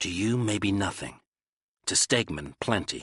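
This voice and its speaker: Putting on a growling character voice, a man speaks at a fairly slow pace and fairly low pitch, the sound dry and close with no echo. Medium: read story. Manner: terse, cold, clipped.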